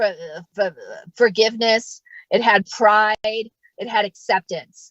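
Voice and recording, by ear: Speaking slowly in an American accent, a woman has a medium pitch and a fairly bright tone. The sound is dry and close with no echo.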